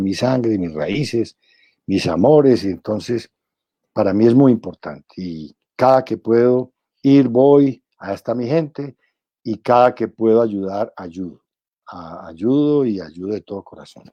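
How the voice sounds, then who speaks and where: With a dark, mellow tone at medium pitch, a man speaks at a fairly slow pace, showing ordinary pitch variation and big swings in loudness, in a dry, close sound with no echo. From Colombia, Pereira. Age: 70s. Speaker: senator and presidential pre-candidate. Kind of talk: interview. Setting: live stream interview.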